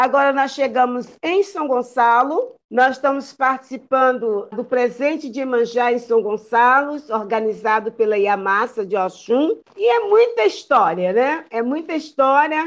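Her pitch high and intonation lively, a woman talks at a fairly slow pace with hardly any pauses. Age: 70s. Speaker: Candomblé priestess and cultural group founder. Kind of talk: podcast interview.

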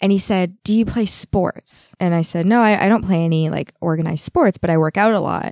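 With a Canadian accent and a plain, everyday voice, a woman speaks at a fairly quick pace with hardly any pauses, in a medium pitch and fairly even intonation, with a dry, close sound with no echo. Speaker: massage therapist. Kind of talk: casual chat. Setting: studio.

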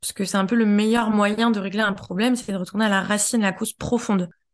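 A woman speaks in a fairly high voice against a quiet background. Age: 30s. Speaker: feminist activist. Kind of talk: testimony. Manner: halting.

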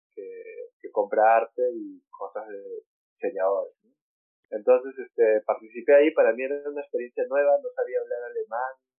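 A man at a moderate pace with big swings in loudness, over music in the background. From Peru, Lima. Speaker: artist. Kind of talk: interview.

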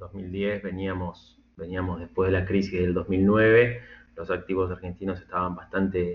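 Monotone, flat intonation at a fairly slow pace. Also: man. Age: middle-aged. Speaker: software engineer turned market trader. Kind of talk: interview conversation. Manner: halting, repeats words.

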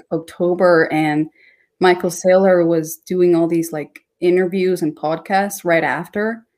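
Her pace is fairly slow. This woman keeps a monotone, flat intonation. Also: very clean recording, silent background. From Ecuador, moved to US at nine. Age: 20s. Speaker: dancer and crypto content creator. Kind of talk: casual interview chat. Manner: hesitant with many fillers.

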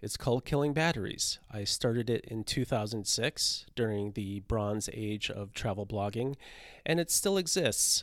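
A man with an ordinary speaking voice talks at a medium pitch and a moderate pace, with ordinary pitch variation, in a very clean recording with a silent background. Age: 50s. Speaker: podcast host and travel writer. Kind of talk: solo podcast monologue.

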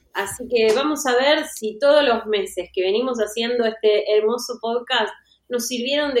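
A woman speaks at a high pitch and moderate pace. Her pitch variation is ordinary. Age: 30s. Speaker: podcast host. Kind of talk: casual chat.

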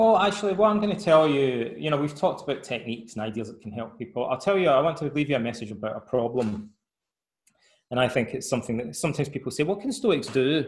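Very fast, somewhat breathy speech in a Scottish accent, with very wide pitch swings. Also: man, fairly high pitch for a man. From Scotland. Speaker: author and psychotherapist. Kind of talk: interview conversation.

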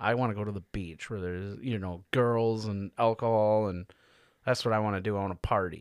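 This man has a normal speaking voice, fairly low in pitch, at a fairly quick pace. His intonation is fairly even, on a very clean recording with a silent background. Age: 30s. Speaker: podcast guest, coworker of host. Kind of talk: casual chat.

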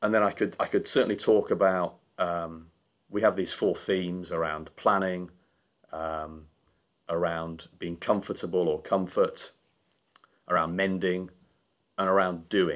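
A man's very deep, low voice in a Yorkshire accent, monotone and flat, at a fairly slow pace with long, frequent pauses. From Yorkshire, northern England. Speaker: charity founder and CEO. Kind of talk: casual interview.

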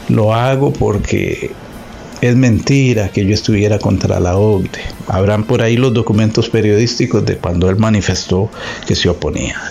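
There's noticeable background noise as a man talks at a very even loudness. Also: fairly low pitch for a man, ordinary pitch variation, moderate pace. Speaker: news host and interviewer. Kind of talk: news commentary and interview.

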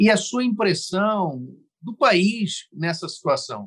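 In a dry, close sound with no echo, a man speaks at a very slow pace with lively intonation. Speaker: podcast host, journalist. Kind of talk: interview conversation.

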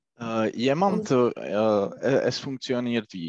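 Against a quiet background, a man with a Czech accent speaks at a fairly low pitch, with a dry, close sound and no echo. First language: Czech (speaking German). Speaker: German learner, credit analyst. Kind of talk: language lesson conversation. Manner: halting.

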